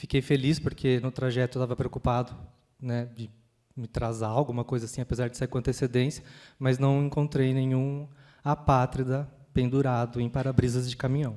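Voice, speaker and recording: A man's dark, mellow voice at a medium pitch, in a countryside Brazilian accent, with monotone, flat intonation. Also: moderate pace. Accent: countryside Brazilian accent, noticeable. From interior of São Paulo state, Brazil. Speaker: panel moderator. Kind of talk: panel discussion. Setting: stage with audience in a library. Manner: hesitant, many fillers.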